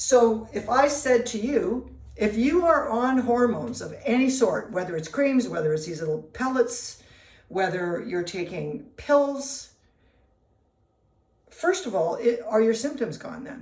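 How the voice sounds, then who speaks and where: Audible room echo surrounds a woman whose high-pitched voice moves at a fairly slow pace, with big swings in loudness and very wide pitch swings. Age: 60s. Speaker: nutritionist. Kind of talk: casual talk to camera. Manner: conversational with fillers.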